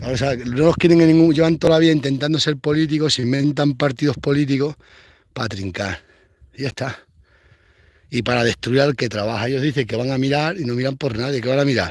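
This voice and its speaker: At a very fast pace, an animated tone with ordinary pitch variation comes through on a very clean recording with a silent background. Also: man, fairly high pitch for a man. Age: 40s. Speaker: rural vlogger, goat farmer. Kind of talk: casual vlog monologue.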